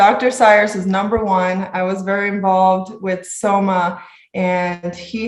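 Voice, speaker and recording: With a Spanish accent, a woman speaks at a medium pitch, and the room echo is audible. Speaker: medical resident. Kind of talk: interview.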